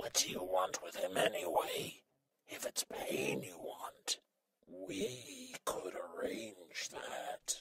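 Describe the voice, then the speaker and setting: A raspy voice at a very slow pace in a dry, close sound with no echo. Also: man. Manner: uppity, resistant.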